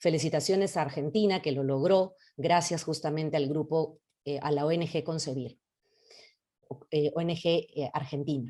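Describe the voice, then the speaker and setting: With a very deep, low voice and a dark, mellow tone, a woman speaks at a moderate pace with fairly even intonation and long, frequent pauses. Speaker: psychologist. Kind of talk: lecture. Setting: video call.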